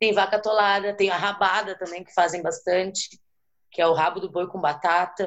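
A woman with a southern Brazilian accent speaks in monotone, flat intonation while her loudness swings widely. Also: medium pitch for a woman, moderate pace. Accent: gaúcho. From Rio Grande do Sul, Brazil (Porto Alegre). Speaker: interview guest. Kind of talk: casual interview.

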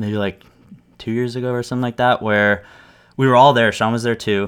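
In a very clean recording with a silent background, a man with an American accent speaks with fairly even intonation. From US, Los Angeles suburbs. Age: 30s. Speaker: business owner and music studio owner. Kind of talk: casual interview conversation. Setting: recording studio.

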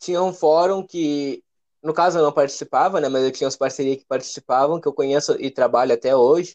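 A man with a southern Brazilian accent speaks at a fairly quick pace and fairly high pitch, with fairly even intonation, big swings in loudness, and a dry, close sound with no echo against a quiet background. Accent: gaúcho. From Rio Grande do Sul, Brazil (Alvorada, Porto Alegre area). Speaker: rapper and music producer. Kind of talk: casual interview.

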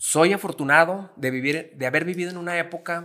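Bright and sharp, a man's voice shows ordinary pitch variation. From Mexico, Gómez Palacio, Durango (La Laguna region). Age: 30s. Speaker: rock music fan. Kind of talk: casual chat.

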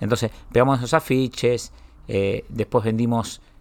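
On a very clean recording with a silent background, a man speaks in a normal speaking voice at a medium pitch and moderate pace, with fairly even intonation. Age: 40s. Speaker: media entrepreneur. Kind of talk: interview. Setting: studio.

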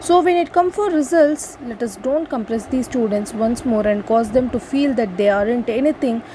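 Over noticeable background noise, a woman with a high pitch speaks at a moderate pace with lively intonation and hardly any pauses. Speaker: student speaker. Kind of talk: prepared speech. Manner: halting.

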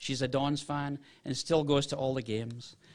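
A man with an American accent, fairly high in pitch, at a moderate pace with fairly even intonation. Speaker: football club director. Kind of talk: ceremony speech. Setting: stage with audience.

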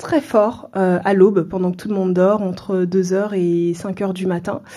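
This woman's voice has a dark, mellow tone at a medium pitch. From France, Seine-Saint-Denis (Paris suburbs). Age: 30s. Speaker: entrepreneur, café owner. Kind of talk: interview.

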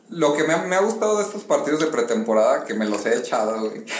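A man with a Mexican accent speaks at a fairly quick pace in a fairly high pitch, with very wide pitch swings. Audible room echo and noticeable background noise surround him. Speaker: football fan commentator. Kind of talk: casual chat.

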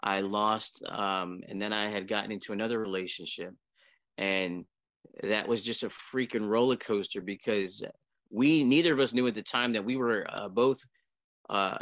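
This man has a plain, everyday voice with an American accent. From Pennsylvania, Harrisburg. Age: 40s. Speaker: spiritual community member. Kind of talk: personal testimony. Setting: online video hangout.

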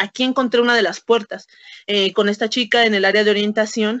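The speaker talks at a fairly quick pace in a Mexican accent. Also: woman. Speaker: historian and secondary school teacher. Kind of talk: casual interview.

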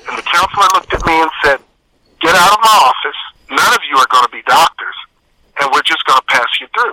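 The speech comes at a very fast pace with lively intonation and long, frequent pauses, recorded with a dry, close sound and no echo. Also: man, high pitch for a man. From Texas. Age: 50s. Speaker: fitness expert and author. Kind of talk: interview.

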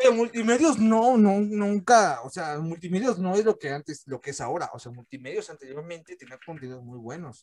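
The voice moves at a fairly quick pace with hardly any pauses. Its pitch swings very widely. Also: man, high pitch for a man. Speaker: podcast host. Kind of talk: casual chat. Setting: video call.

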